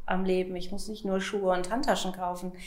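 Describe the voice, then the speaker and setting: A woman at a medium pitch talks in a room with audible echo. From Lower Saxony, Hanover area. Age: 40s. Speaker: pharmaceutical sales rep and coaching client. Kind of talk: interview testimony.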